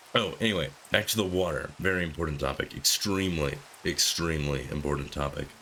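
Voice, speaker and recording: Against noticeable background noise, a man with a very deep, low pitch and ordinary pitch variation talks at a very fast pace. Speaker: gaming youtuber. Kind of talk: casual gameplay commentary. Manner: rambling, hesitant.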